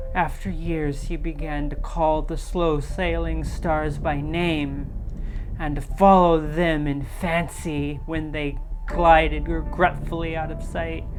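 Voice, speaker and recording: Amid loud background noise, a woman uses a put-on character voice at a fairly slow pace. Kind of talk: horror narration. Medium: virtual streamer. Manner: measured, atmospheric.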